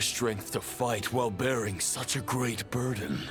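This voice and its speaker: Over clear music in the background, a man does a cartoonish character voice at medium pitch and a moderate pace. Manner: solemn, measured, formal.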